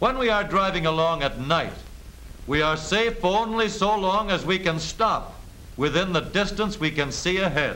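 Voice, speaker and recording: Over noticeable background noise, a man projects a raised voice at a high pitch, moderate in pace, very even in loudness, with ordinary pitch variation. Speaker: film narrator. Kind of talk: 1930s training film narration, scripted and instructional. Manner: brisk, authoritative, clipped newsreel-style delivery.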